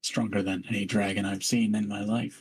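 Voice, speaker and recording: A man's raspy put-on character voice, fairly low in pitch, at a fairly quick pace with monotone, flat intonation. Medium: actual play.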